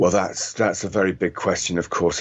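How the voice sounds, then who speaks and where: At a moderate pace and with fairly even intonation, the voice comes through noticeable background noise. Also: man. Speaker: former correspondent and author. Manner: hesitant, filler-heavy.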